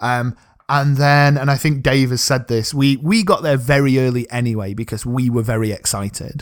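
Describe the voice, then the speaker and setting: In a South Yorkshire accent, a man speaks at a moderate pace and medium pitch on a very clean recording with a silent background. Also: ordinary pitch variation. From South Yorkshire, England. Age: 30s. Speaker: football podcast co-host. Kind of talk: casual interview chat.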